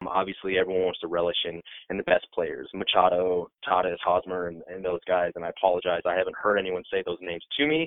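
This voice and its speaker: A man with an American accent talks very fast, hardly pausing at all. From Iowa, US Midwest. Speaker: sports website editor. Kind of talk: casual chat.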